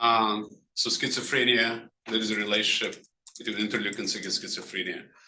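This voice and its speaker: Amid audible room echo, a man talks very fast at a medium pitch with a monotone, flat intonation. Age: 60s. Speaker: physician lecturer. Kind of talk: lecture. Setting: grand rounds presentation. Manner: halting.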